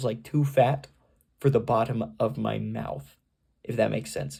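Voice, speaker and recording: A dark, mellow tone with vocal fry and very wide pitch swings. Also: man. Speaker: vlogger. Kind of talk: casual vlog monologue. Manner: halting, many fillers.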